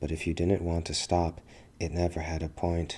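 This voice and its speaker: A very deep, low-pitched male voice, dark and mellow in tone and somewhat breathy, at a moderate pace. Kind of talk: ASMR fantasy story narration, poetic. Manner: soft, intimate, ASMR-style.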